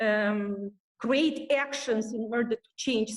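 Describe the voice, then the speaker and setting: Ordinary pitch movement in a woman's fairly high voice. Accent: Romanian. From Moldova. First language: Romanian. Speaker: English teacher. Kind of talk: webinar discussion. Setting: online webinar. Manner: halting.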